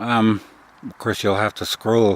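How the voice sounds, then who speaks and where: The voice has a relaxed tone and a fairly slow pace. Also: man. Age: 50s. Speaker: military veteran and vlogger. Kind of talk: casual vlog monologue. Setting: outdoors by a tipi. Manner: monotone; relaxed, meandering with fillers.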